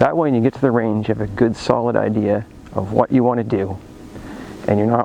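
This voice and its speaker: Over noticeable background noise, a man speaks fairly quickly at a fairly low pitch with fairly even intonation. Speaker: firearms instructor YouTuber. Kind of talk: tutorial. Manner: slurring words at times.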